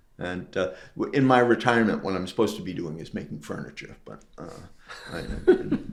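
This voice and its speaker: This man's loudness swings a lot as he talks fairly quickly, with noticeable background noise around him. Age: 70s. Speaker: retired preservation carpentry instructor. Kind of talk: casual interview chat. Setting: in his restored house addition. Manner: halting, repetitive.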